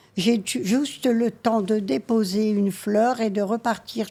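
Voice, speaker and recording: A woman speaks in a fairly high, somewhat breathy voice. Her pitch variation is ordinary. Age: 70s. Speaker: retiree. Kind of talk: casual chat.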